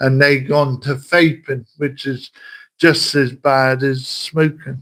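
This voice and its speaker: The voice has a West Country accent. It is monotone and flat, with a very slow pace. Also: man. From southern England, Wiltshire. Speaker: livestreamer. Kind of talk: casual chat. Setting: livestream. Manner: halting.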